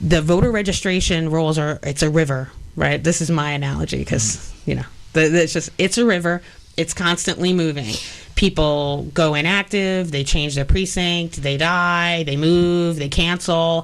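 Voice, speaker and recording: With a New York accent, a woman speaks at a moderate pace in a fairly low pitch. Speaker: election policy expert. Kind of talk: radio interview. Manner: animated.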